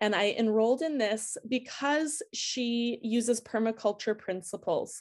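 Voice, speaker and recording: An ordinary speaking voice from a woman with an American accent, fairly high pitch, ordinary pitch variation, a fairly slow pace, and hardly any pauses. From United States. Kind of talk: interview.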